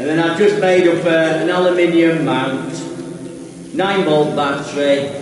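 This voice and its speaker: Strong room echo and light background noise surround a man's voice. He speaks high for a man, with ordinary pitch variation. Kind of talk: tutorial. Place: tunnel cave.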